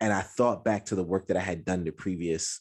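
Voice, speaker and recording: Over a very clean recording with a silent background, a man with a very deep, low pitch talks at a fairly quick pace with lively intonation. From US Midwest. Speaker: writer and podcast host. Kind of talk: interview.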